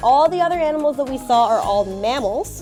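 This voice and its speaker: With music in the background, a woman's voice moves in very wide pitch swings. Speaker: animal centre educator. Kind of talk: educational talk to children.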